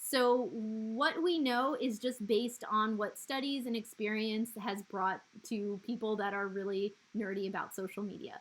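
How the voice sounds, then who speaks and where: A woman with a normal speaking voice, fairly high in pitch, fairly slow in pace, with ordinary pitch variation. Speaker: social media trainer. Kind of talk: online training session. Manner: casual, conversational.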